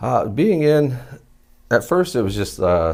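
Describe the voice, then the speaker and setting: In a very clean recording with a silent background, a man with a southern Ohio accent speaks with ordinary pitch variation. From Southern Ohio, Athens County. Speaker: military veteran. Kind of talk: interview.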